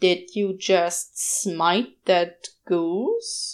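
The put-on character voice sits at a middle pitch. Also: female-sounding voice. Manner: slow, incredulous.

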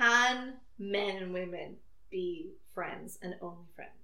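A woman talks with ordinary pitch variation amid noticeable background noise. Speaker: podcast host. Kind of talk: casual chat.

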